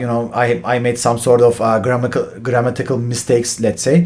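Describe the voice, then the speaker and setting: Over noticeable background noise, a man with a Turkish accent talks at a fairly quick pace in a medium pitch. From Turkey. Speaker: finance professional, channel host. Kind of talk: explainer talk to camera. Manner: halting, many fillers.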